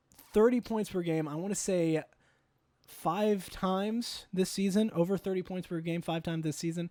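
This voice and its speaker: A man has a high voice with a dark, mellow tone. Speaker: sports fan reacting to a TV segment. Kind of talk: reaction commentary. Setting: live stream. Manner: fast; animated.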